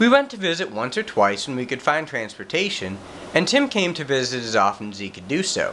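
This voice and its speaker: Very wide pitch swings at a fairly quick pace, over noticeable background noise. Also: man, fairly high pitch for a man. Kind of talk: reading prepared statement.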